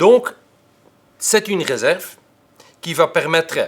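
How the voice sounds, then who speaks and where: A man speaks with a Dutch accent at a fairly slow pace. His intonation is lively. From Flanders, Belgium. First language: Dutch (speaking French). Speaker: tax expert. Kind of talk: lecture. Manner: hesitant, frequent filler sounds.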